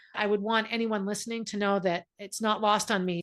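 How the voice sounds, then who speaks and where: A woman speaks against a quiet background. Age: 60s. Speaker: guest sharing late pregnancy story. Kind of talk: interview testimony. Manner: animated.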